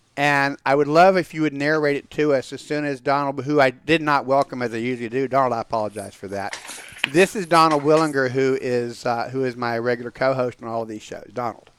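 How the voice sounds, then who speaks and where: Speaking with an American accent at a fairly quick pace, the voice has ordinary pitch variation and hardly any pauses, over noticeable background noise. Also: man, medium pitch for a man. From US South (Georgia). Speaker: rabbi and show host. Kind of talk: casual chat.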